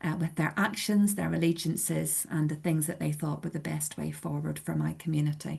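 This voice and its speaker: Speaking at a moderate pace, a woman talks with a Belfast accent. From Northern Ireland, Belfast. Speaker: church community organiser. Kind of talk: webinar presentation.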